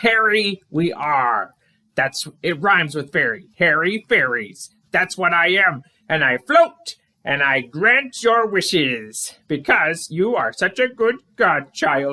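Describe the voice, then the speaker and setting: At a fairly slow pace, someone performs a put-on character voice. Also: man. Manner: grand, theatrical, backwards syntax.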